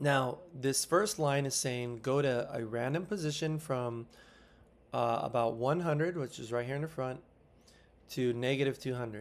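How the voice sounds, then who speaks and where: Medium-pitched male voice, its pitch varying in an ordinary way. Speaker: teacher. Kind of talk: tutorial. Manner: fast.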